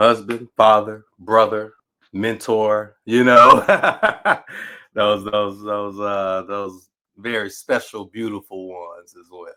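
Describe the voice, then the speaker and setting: In a Southern US accent, a man speaks very slowly with a fairly low pitch and a bright, sharp tone. His intonation stays monotone and flat while his loudness swings widely. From Natchez, Mississippi. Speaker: writer, educator, PhD candidate. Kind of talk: podcast interview answer.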